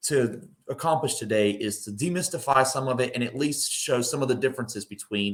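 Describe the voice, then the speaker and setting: In a North Carolina accent, a man speaks fairly quickly at a medium pitch with ordinary pitch variation. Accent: Southern US, North Carolina. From North Carolina, Mount Airy. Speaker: estate planning attorney. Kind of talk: presentation. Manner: hesitant, many fillers and repetitions.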